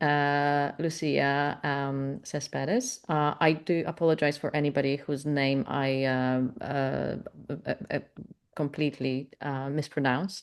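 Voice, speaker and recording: A woman talks with a Polish accent. Her pitch is very deep and low, and her pace is very slow. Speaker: webinar moderator, membership staff. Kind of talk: webinar Q&A. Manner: halting, many fillers.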